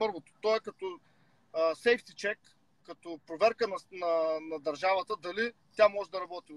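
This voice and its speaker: A man with an Eastern European accent, high in pitch, with ordinary pitch variation, big swings in loudness and a fairly slow pace, in a dry sound with no echo against a quiet background. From Bulgaria. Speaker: rapper and political commentator; political commentator. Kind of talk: casual chat. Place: car. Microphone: video call.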